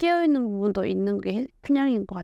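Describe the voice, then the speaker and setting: A woman's normal speaking voice at a fairly quick pace, lively in intonation, dry and close with no echo, over a quiet background. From North Korea, Ryanggang Province (Hyesan). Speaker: North Korean defector, lecturer and YouTuber. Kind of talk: interview testimony.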